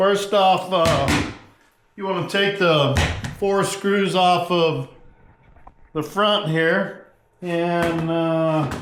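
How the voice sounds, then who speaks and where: A loud man with a high pitch and ordinary pitch variation speaks amid audible room echo. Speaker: fishing tutorial creator. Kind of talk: tutorial. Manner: casual with many fillers.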